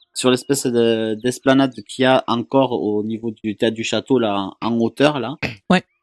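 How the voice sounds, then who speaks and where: With a southern French accent, a man speaks at a moderate pace in a dry, close sound with no echo. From southern France. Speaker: YouTube vlogger. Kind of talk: casual chat.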